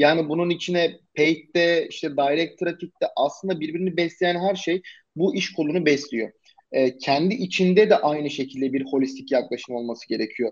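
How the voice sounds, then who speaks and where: The man's lively intonation sits on a high pitch. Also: moderate pace. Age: 20s. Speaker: SEO agency founder. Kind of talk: casual interview.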